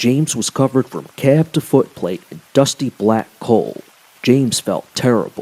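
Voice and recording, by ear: The clip is reading aloud in a natural voice, with ordinary pitch variation.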